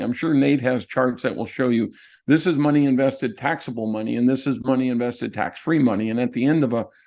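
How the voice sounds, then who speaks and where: At a fairly quick pace, a man talks in a normal speaking voice at medium pitch with ordinary pitch variation. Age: 60s. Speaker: real estate investor and note expert. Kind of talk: presentation in an online workshop.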